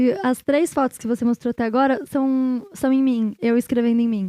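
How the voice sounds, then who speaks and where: A woman speaks in a high pitch with a dark, mellow tone. The sound is dry and close, without echo. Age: 30s. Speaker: artist and hypnotherapist. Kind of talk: casual interview chat.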